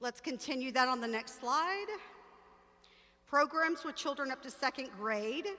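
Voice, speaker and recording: Projecting her raised voice, a woman speaks at a moderate pace with a high pitch, ordinary pitch variation, and long, frequent pauses. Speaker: church ministry director. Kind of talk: training briefing. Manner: filler-heavy (um, uh).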